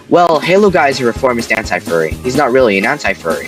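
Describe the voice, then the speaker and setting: A man's voice swings very widely in pitch. The sound is dry and close with no echo, and music plays in the background. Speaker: commentary YouTuber. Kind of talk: commentary voiceover.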